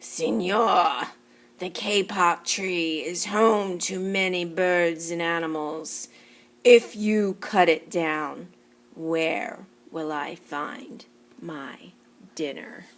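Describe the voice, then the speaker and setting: Using a put-on character voice, a woman growls at a fairly low pitch, moving very slowly with long, frequent pauses. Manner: growling, low.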